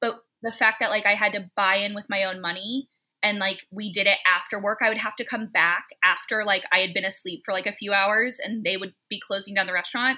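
A woman speaks at a fairly quick pace at a medium pitch. Her tone is bright and sharp, her intonation monotone and flat. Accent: American. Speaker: sommelier, beverage director. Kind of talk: casual chat.

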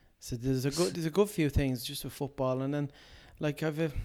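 A man with a Dublin accent speaks at a fairly quick pace in a dark, mellow tone, fairly high-pitched with ordinary pitch variation, in a very clean recording with a silent background. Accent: Dublin Irish. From Ireland, Dublin (Portmarnock). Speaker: comedian and impressionist. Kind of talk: casual interview chat.

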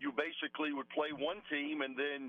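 A normal speaking voice at a moderate pace, with fairly even intonation. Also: man. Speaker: college basketball coach and former player. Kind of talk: radio interview.

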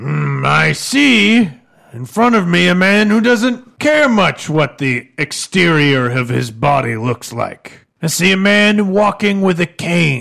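Putting on a character voice, a man speaks at a high pitch and a fairly slow pace, his pitch swinging very widely. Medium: actual play. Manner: blunt, probing, self-assured.

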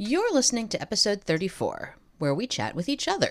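Vocal fry runs through a woman's speech as she moves at a moderate pace with very wide pitch swings. The recording is very clean, with a silent background. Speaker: podcast co-host. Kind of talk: casual chat.

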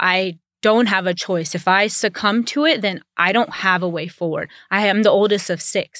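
In a very clean recording with a silent background, a woman with a normal speaking voice talks at a moderate pace and medium pitch, with ordinary pitch variation. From US South. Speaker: activist and community organizer. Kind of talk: interview.

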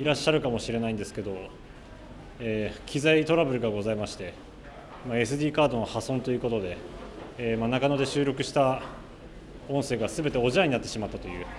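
Audible room echo surrounds a man talking at a medium pitch with ordinary pitch variation. He goes at a very fast pace, broken by long, frequent pauses. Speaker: radio reporter and interviewer. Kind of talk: on-location report. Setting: underground shopping arcade. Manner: loud, carrying voice; many filler words.

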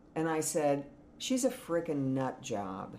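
Over noticeable background noise, a woman with a very deep, low pitch speaks very slowly with lively intonation. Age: 60s. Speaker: hair and makeup artist. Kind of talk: casual chat. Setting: home rental in Austin, Texas.

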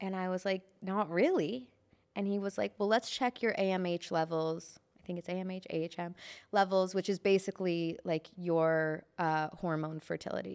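A woman with an American accent talks at a moderate pace in an ordinary speaking voice, her medium pitch and fairly even intonation captured in a very clean recording with a silent background. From US Midwest, Chicago. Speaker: entertainment journalist. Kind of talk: casual chat.

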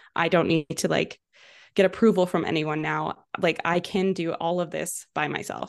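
Flat and monotone with vocal fry, the voice moves at a moderate pace against a quiet background. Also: woman. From western Canada, Vancouver. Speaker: entrepreneur, social media ads specialist. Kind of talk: interview.

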